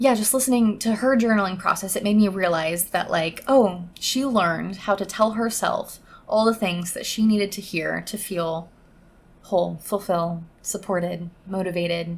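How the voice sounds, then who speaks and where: At a moderate pace, a woman speaks in a somewhat breathy voice at a medium pitch with ordinary pitch variation. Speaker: podcast host. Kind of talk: casual solo podcast monologue.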